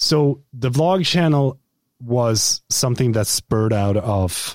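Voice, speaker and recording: This man talks at a medium pitch with lively intonation. The sound is dry and close, with no echo. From Sweden. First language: Swedish. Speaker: YouTuber and content creator. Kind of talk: casual interview. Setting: video call.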